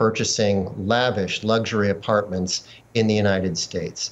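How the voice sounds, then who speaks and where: A man talks at a moderate pace. His pitch sits fairly low. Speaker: investigative journalist. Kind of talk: news interview. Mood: calm, serious. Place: home room. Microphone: video call.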